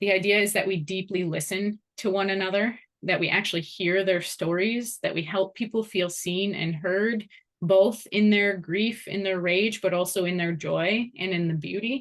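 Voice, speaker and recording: A woman speaks with an ordinary speaking voice at a medium pitch. Her pace is moderate and her intonation fairly even. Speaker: course instructor and program founder. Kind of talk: informational presentation.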